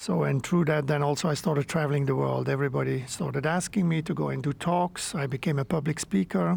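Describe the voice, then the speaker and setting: A man with a Flemish accent speaks at a very fast pace with hardly any pauses, somewhat breathy, with ordinary pitch variation and very even loudness. The recording is very clean, with a silent background. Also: fairly high pitch for a man. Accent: Belgian (Flemish) English. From Belgium. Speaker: entrepreneur and men's work facilitator. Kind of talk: interview.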